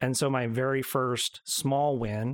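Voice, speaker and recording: Speaking with an ordinary speaking voice, a man of medium pitch keeps his intonation fairly even. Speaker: co-host and announcer. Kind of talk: casual chat.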